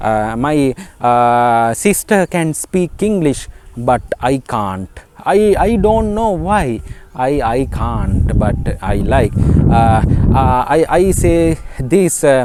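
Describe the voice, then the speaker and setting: With a Sri Lankan accent, a man speaks at a medium pitch and a very slow pace, his pitch swinging very widely over noticeable background noise. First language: Sinhala. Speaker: English teacher. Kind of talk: tutorial. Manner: halting, many fillers as deliberate broken English demo.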